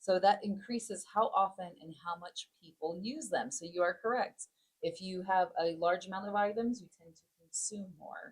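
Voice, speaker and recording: Somewhat breathy, a woman with an American accent speaks at medium pitch and a moderate pace with ordinary pitch variation. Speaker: podcast co-host. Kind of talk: casual discussion.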